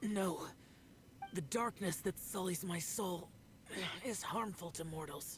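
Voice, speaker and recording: At a fairly slow pace, the speaker uses a put-on character voice at middle pitch with long, frequent pauses. Background noise is clear. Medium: video game. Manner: terse, reserved.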